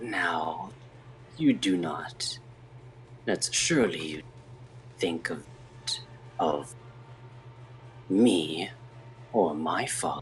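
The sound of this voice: A man's put-on character voice, hissing and very deep and low, at a very slow pace with long, frequent pauses over light background noise.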